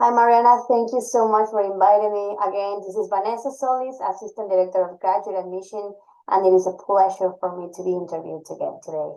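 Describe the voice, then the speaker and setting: Speaking at a very fast pace with a Spanish accent, a woman with a dark, mellow tone shows big swings in loudness and ordinary pitch variation. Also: medium pitch for a woman. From Ecuador. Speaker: university admissions administrator. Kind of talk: podcast interview.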